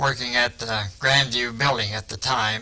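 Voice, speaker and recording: With a Midwestern US accent, a man talks at a medium pitch with fairly even intonation over noticeable background noise. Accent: US Midwest. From eastern Iowa, Muscatine County. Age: 70s. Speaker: retired factory worker. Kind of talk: interview.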